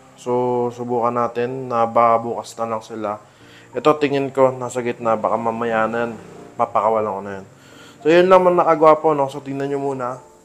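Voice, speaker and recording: Loudness swings widely as a man at a medium pitch talks with ordinary pitch variation. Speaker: fish hobbyist vlogger. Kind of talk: casual vlog tutorial. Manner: lowered voice at night.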